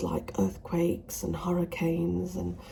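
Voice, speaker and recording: A woman with a British accent is whispering over noticeable background noise. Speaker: smallholder vlogger. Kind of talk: casual vlog. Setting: indoors in conservatory. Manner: halting.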